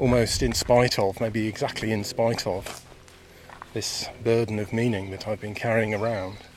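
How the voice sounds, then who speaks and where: With a southern English accent, the speech comes at a moderate pace in a monotone, flat way over noticeable background noise. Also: man, fairly low pitch for a man. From England, Buckinghamshire (Chilterns). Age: 50s. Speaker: podcaster, meditation practitioner. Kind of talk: reflective monologue. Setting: outdoors on a walk.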